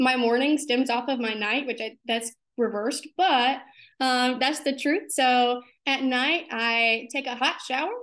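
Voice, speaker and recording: A woman with an American accent speaks at a fairly slow pace in a high pitch. The background is quiet. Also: ordinary pitch variation. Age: 20s. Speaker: pageant contestant and student. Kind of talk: casual interview.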